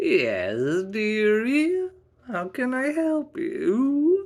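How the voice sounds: A put-on character voice, creaky and high in pitch, drags along at a very slow pace.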